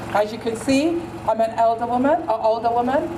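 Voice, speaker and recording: A woman's high-pitched voice with audible room echo and crowd noise in the background. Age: old. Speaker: protest speaker. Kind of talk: protest speech.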